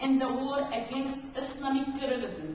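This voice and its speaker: Speaking at a very slow pace, a woman uses a high pitch amid audible room echo. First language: Arabic. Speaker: activist speaker. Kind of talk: conference speech.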